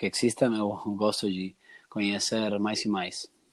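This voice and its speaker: A man with a slight Argentine accent speaks at a very slow pace and a fairly low pitch. The recording is very clean, with a silent background. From Argentina. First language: Spanish (speaking Portuguese). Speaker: entrepreneur and customer researcher. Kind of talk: podcast interview. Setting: recorded conversation with some noise. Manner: halting, with restarts.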